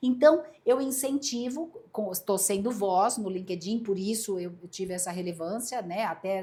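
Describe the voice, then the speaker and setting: A woman speaks at a fairly slow pace with lively intonation. Noticeable background noise runs behind her. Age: 60s. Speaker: headhunter and speaker. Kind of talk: podcast interview.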